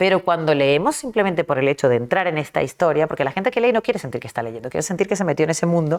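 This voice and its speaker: A woman with a fairly low pitch talks at a very fast pace on a very clean recording with a silent background. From Argentina (early childhood), then Caracas, Venezuela (adolescence). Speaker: novelist. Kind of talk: interview.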